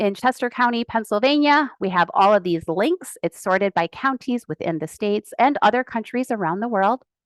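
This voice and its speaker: A woman talks at a fairly quick pace with lively intonation, her voice dry and close with no echo. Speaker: genealogy speaker. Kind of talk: webinar presentation. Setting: video call with screen sharing. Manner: fast.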